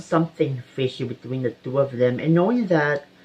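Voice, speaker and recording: Moderately paced talk against noticeable background noise. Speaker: true crime YouTuber. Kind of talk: casual crime storytelling. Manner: halting, many filler words.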